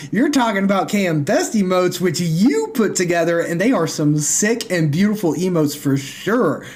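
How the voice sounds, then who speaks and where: An animated man with an American accent, high-pitched, at a fairly quick pace, his pitch swinging very widely amid audible room echo. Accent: occasional southern twang. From US South, northwest Tennessee. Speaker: game streamer. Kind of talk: live gameplay commentary. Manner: casual, animated.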